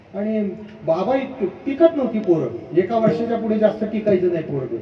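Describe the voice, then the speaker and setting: A man with a high pitch speaks in an animated tone with lively intonation, amid noticeable background noise and audible room echo. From Maharashtra, Pune district. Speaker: kirtan preacher. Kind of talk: kirtan sermon. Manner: animated storytelling.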